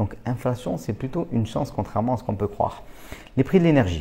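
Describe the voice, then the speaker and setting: A man is speaking. His pace is fairly quick. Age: 30s. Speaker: real estate investor and trainer. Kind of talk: educational monologue. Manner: casual, with fillers.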